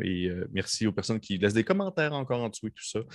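On a very clean recording with a silent background, a man speaks in an animated tone. His intonation is lively. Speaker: game master of a role-playing podcast. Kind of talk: tabletop role-playing narration.

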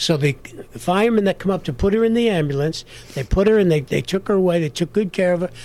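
In a New York accent, a high-pitched man speaks at a very fast pace. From New York, South Bronx. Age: 60s. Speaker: actor. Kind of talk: interview.

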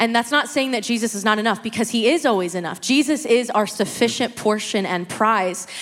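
A woman talks at a fairly quick pace in a fairly high voice, with hardly any pauses. Noticeable background noise runs under her speech. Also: ordinary pitch variation. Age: 20s. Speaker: church member sharing testimony. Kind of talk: testimony.

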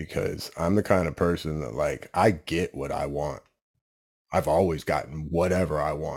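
Very deep and low, a man's voice carries vocal fry and fairly even intonation. He keeps a moderate pace in a very clean recording with a silent background. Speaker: fitness coach in recovery. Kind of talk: testimony. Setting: studio.

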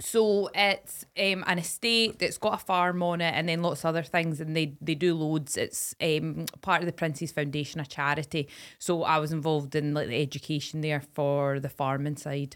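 With hardly any pauses, a woman speaks in a very deep, low pitch with a Scottish accent and ordinary pitch variation, on a very clean recording with a silent background. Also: moderate pace. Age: 20s. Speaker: podcast co-host, former farming tutor. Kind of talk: casual chat.

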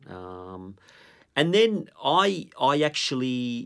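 On a very clean recording with a silent background, a man speaks with an Australian accent and lively intonation. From Melbourne, Australia (Italian migrant family, Northcote). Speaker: football coach. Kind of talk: casual chat.

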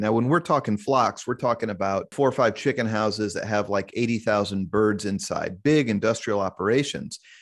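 Recorded very cleanly against a silent background, a man speaks at a medium pitch with ordinary pitch variation in an unremarkable speaking voice. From US Midwest, Kansas City. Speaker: investigative reporter and author. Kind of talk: interview.

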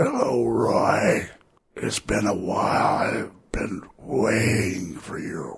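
A man puts on a raspy character voice, pitched fairly low and delivered at a very slow pace. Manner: eerie, menacing.

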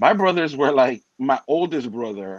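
With a Spanish accent, a man speaks fairly slowly at a medium pitch with ordinary pitch variation, in a dry, close sound with no echo. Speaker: co-host. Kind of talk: casual conversation.

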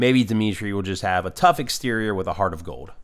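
A man's normal speaking voice, fairly low in pitch, fairly quick in pace, with ordinary pitch variation. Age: 30s. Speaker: podcast co-host. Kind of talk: casual chat.

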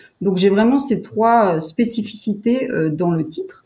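Dark, mellow tone in a somewhat breathy female voice. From French Alps (Savoie). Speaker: tourism communications director. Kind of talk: interview. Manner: hesitant, many fillers.

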